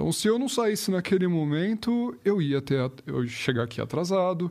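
Very wide pitch swings from a male speaker, very cleanly recorded against a silent background. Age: 20s. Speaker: project manager in the automotive industry. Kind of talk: casual chat.

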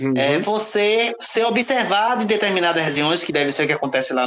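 With noticeable background noise and audible room echo, a man speaks at a fairly quick pace in a high pitch, his voice swinging very widely in pitch. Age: 40s. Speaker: podcast guest. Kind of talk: casual discussion.

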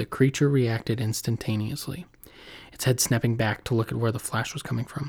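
A man at a fairly quick pace, a normal speaking voice with fairly even intonation, on a very clean recording with a silent background. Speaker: podcast host. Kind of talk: casual intro and outro chat, with scary stories read aloud in a spooky storytelling style. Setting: home recording, solo.

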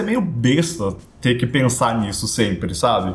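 In a room with audible echo, a man speaks with lively intonation. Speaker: podcast co-host. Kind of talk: casual chat.

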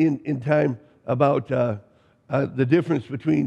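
Talking at a very slow pace, a man with vocal fry and a dark, mellow tone speaks at a fairly high pitch with ordinary pitch variation. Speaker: pastor. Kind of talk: sermon. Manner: halting, many fillers.

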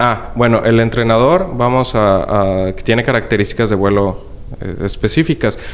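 A plain, everyday voice talks at a medium speed, its pitch moving in a typical way. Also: man, medium pitch for a man. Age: 20s. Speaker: model aircraft hobbyist. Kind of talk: interview.

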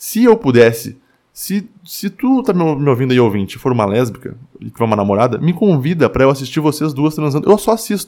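A man speaks at a fairly quick clip in a fairly high voice, his pitch swinging very widely over a dark, mellow tone. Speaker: podcast host. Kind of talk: solo monologue podcast. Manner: filler-heavy with hesitations.

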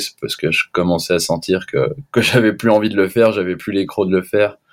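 An ordinary speaking voice talks at a fairly quick pace with fairly even intonation, on a very clean recording with a silent background. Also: man. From Switzerland, French-speaking. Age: 20s. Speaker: freeskier. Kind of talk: casual chat.

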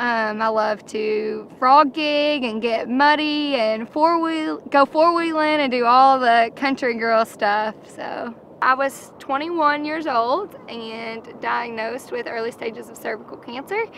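A woman with a high voice speaks at a very slow pace, hardly pausing, her loudness swinging widely while her pitch varies in an ordinary way. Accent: Kentucky. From Kentucky. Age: 20s. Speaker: reality show contestant. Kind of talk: interview.

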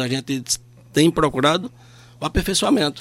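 A man talks at a fairly quick pace. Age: 50s. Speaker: public auditor. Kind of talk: radio interview.

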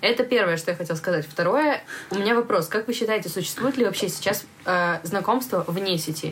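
A woman's medium-pitched voice at a fairly quick pace, with lively intonation over noticeable background noise. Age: 20s. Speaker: podcast host, coffee shop manager. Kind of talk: casual chat. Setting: studio.

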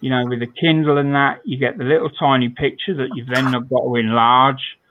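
Ordinary pitch variation in a British accent. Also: man. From Britain. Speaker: scale modelling podcast host. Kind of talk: casual chat.

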